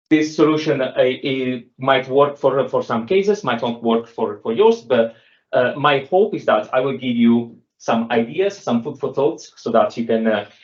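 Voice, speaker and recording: A man with an Italian accent speaks with lively intonation. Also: medium pitch for a man, moderate pace. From Italy. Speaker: software developer. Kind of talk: technical talk. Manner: halting, many fillers.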